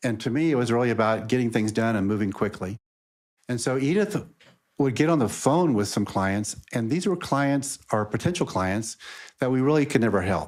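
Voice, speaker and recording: A man with an American accent talks in a plain, everyday voice at a medium pitch and a moderate pace. His intonation is lively, his loudness very even, and the recording very clean with a silent background. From Texas, Houston. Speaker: lawyer. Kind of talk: interview conversation. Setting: podcast.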